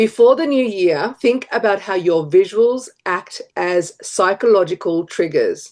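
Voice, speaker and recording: The speaker has an Australian accent and lively intonation. The pace is fairly slow, with hardly any pauses. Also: woman, medium pitch for a woman. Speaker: brand strategist. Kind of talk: tutorial.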